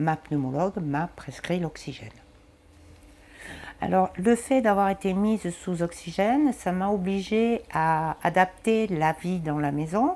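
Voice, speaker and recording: At a very slow pace, a woman speaks in a dark, mellow tone with lively intonation. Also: medium pitch for a woman. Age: 60s. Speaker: patient with lung disease. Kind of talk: testimony.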